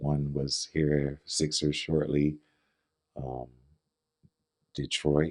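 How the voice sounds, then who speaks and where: Very deep and low, a man with an American accent speaks very slowly in a monotone, flat intonation with long, frequent pauses. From Philadelphia, Kensington. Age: 40s. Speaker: former drug dealer, church member. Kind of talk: testimony. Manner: halting.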